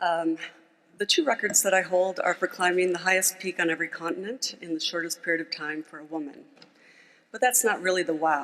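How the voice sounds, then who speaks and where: Talking at a fairly quick pace, a woman uses an ordinary speaking voice with an American accent. Her pitch is medium, with ordinary variation. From United States. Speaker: mountaineer and former banker, speaker. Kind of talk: conference speech.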